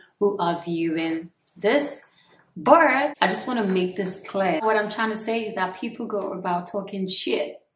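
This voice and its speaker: At a moderate pace, a woman talks with ordinary pitch variation, with light background noise and audible room echo around her. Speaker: beauty vlogger. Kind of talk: casual vlog chat. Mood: annoyed but smiling, firm. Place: home room.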